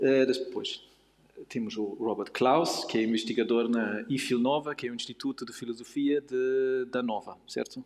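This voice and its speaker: Speaking with a non-native accent, a man keeps a moderate pace and fairly even intonation. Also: medium pitch for a man. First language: not Portuguese (speaking Portuguese). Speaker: panel moderator, philosophy researcher. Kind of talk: panel discussion moderation. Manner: halting, many hesitations.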